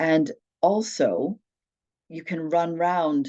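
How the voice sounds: A woman speaks with a low pitch. Her tone is dark and mellow.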